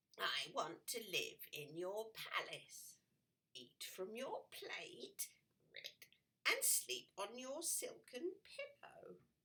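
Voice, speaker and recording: In a put-on character voice, the speaker croaks along at a very slow pace with an extremely high pitch. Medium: read story. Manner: punctuated by ribbits.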